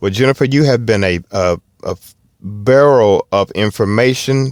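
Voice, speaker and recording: Recorded very cleanly over a silent background, with a dry, close sound and no echo, a man with a Southern US accent speaks with ordinary pitch variation. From US South. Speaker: car podcast host. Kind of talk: casual chat. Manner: halting.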